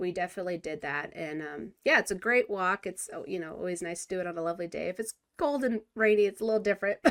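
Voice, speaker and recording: A woman with an American accent at a very fast pace, lively intonation and hardly any pauses. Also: medium pitch for a woman. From California. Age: 40s. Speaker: podcast host. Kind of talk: casual interview chat.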